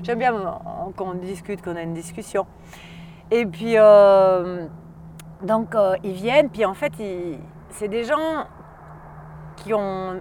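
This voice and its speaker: A woman at a very slow pace, with long, frequent pauses and ordinary pitch variation. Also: medium pitch for a woman. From Valais, Switzerland. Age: 40s. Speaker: wine expert. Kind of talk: casual chat. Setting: outdoors. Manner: animated; halting.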